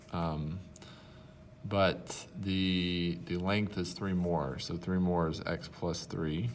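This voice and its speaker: Against audible room echo, a man speaks with a very deep, low pitch and fairly even intonation. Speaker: math teacher. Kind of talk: tutorial.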